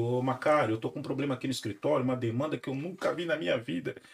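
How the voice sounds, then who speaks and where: A medium-pitched man with a somewhat breathy voice speaks, his pitch varying in an ordinary way. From Brazil, Santo André (São Paulo). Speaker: lawyer, podcast host. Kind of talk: casual chat.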